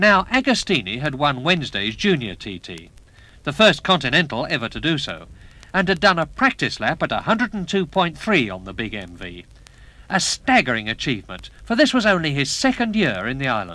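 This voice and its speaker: A man speaks at a fairly quick pace with vocal fry, very wide pitch swings, big swings in loudness and a bright, sharp tone, in a dry sound with no echo. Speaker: racing commentator narrator. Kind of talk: documentary narration. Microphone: old recording.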